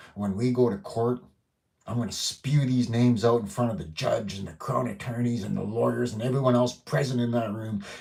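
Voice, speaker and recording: A man with a dark, mellow tone and a somewhat breathy voice talks at a medium pitch and a moderate pace with ordinary pitch variation. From northwestern Ontario, Canada. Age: 50s. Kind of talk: live stream monologue. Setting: at home. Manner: animated.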